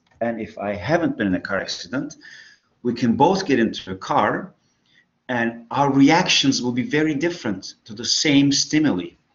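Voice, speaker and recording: A man talks at a moderate pace with lively intonation and a fairly high pitch. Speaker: psychology lecturer. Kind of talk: lecture. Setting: online class.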